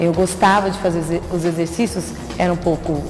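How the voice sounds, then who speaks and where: Music plays in the background and audible room echo surrounds a woman's voice. Her pitch is fairly low, her intonation fairly even, her pace moderate. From São Paulo state interior (Catanduva). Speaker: TV journalist. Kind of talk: interview.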